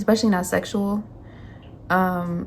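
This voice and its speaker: A woman's medium-pitched, somewhat breathy voice. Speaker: tarot reader. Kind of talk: tarot reading monologue. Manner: casual, filler-heavy.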